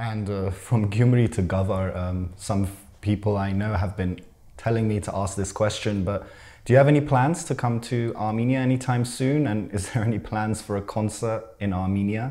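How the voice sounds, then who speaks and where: A man's fairly low voice with a dark, mellow tone and ordinary pitch variation, quiet background. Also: moderate pace. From Armenian diaspora. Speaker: interviewer for a news channel. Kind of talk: interview. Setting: video call. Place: studio. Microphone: lapel.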